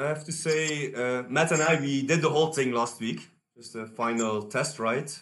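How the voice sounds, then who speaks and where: A man speaks with ordinary pitch variation, and some room echo can be heard. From Belgium. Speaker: race organiser, cyclist. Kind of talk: casual chat.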